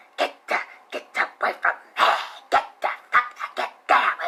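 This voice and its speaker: A put-on character voice comes through with hissing. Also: moderate pace. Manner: menacing.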